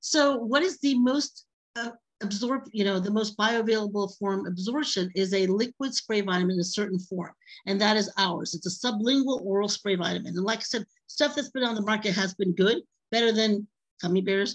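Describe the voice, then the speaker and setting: This woman has a medium pitch with ordinary variation. Her voice is somewhat breathy. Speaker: product presenter. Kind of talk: sales pitch. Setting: video call. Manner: fast.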